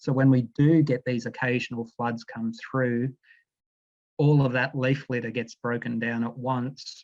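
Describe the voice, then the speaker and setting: A man with an Australian accent at medium pitch, moderate pace, and monotone, flat intonation. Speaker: aquatic scientist. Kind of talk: presentation. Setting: video call.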